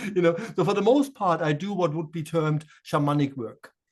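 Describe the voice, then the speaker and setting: A man speaks with a German accent at a fairly quick pace. His pitch is high, with ordinary variation. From Germany, Offenbach near Frankfurt. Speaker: shaman and spiritual medium. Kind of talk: interview conversation. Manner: hesitant, many fillers and repeats.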